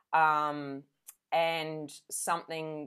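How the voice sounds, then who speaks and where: In a very clean recording with a silent background, a woman with an Australian accent speaks at a very deep, low pitch. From Adelaide, South Australia. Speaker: council candidate and leadership coach. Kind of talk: interview.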